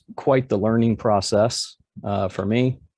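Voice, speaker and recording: In an American accent, a man talks at a fairly slow pace with a medium pitch. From US South, Georgia. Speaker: home brewer and PhD student. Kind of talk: conference presentation. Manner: halting, many fillers.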